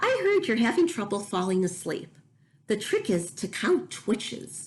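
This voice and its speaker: Moderate speed and fairly high pitch in a put-on character voice. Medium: read story.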